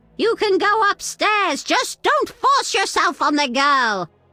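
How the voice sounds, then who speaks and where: A woman's squeaky, put-on character voice, extremely high in pitch with very wide pitch swings, fairly slow, in a dry, close sound with no echo. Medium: video game.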